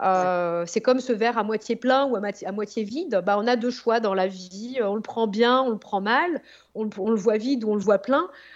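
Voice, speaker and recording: A woman talks at a fairly slow pace with fairly high pitch and ordinary pitch variation. The background is quiet. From France, Yvelines (Sartrouville). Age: 40s. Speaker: marketing consultant and entrepreneur. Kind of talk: interview. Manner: hesitant, many fillers.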